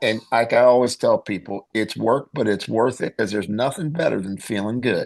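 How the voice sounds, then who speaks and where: A man talks at a moderate pace and medium pitch with ordinary pitch variation and hardly any pauses. His is an unremarkable speaking voice. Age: 60s. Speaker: clinical pharmacist and nutritionist. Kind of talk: interview.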